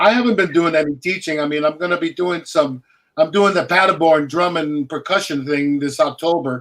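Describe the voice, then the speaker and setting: Delivered at a fairly quick pace, an unremarkable speaking voice moves with ordinary pitch variation. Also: man, fairly high pitch for a man. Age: 60s. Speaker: session percussionist. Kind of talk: casual chat.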